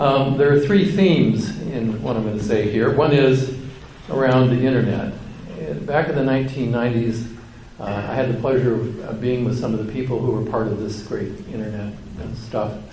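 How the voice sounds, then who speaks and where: An American accent at a moderate pace with ordinary pitch variation, audible room echo and noticeable background noise. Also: man, medium pitch for a man. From US West Coast, Santa Clara County, California. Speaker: university administrator and engineer. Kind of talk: lecture. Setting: conference luncheon with audience.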